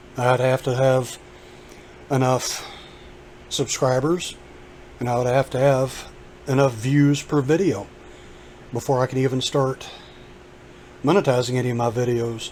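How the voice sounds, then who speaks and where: The speaker moves at a moderate pace with fairly even intonation, broken by long, frequent pauses. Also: man, medium pitch for a man. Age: 50s. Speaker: YouTuber. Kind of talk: casual vlog monologue.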